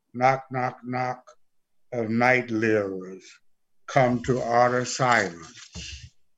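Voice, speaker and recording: Pausing long and often, a man speaks at a very slow pace with fairly even intonation and a medium pitch. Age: 80s+. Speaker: poet and scholar. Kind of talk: casual chat.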